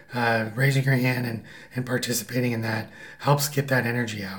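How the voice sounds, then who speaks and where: Noticeable background noise sits behind a man at a medium pitch. He talks at a fairly quick pace in a monotone, flat intonation. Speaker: husband of host, guest. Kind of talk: casual chat.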